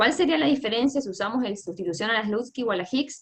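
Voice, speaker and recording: The woman's intonation is lively. She moves along fairly quickly. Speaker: economics teaching assistant. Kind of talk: lecture. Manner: fast.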